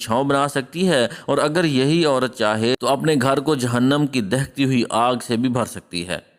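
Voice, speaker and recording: Speaking in a normal speaking voice, a man holds a medium pitch with ordinary pitch variation. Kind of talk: storytelling narration of a moral tale about marriage advice, in Urdu.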